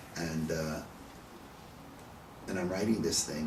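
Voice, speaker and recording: A man with a very deep, low pitch talks at a moderate pace. Audible room echo and noticeable background noise surround his voice. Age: 70s. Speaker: rabbi teaching a text study class. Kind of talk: text study discussion. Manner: conversational, repeats words.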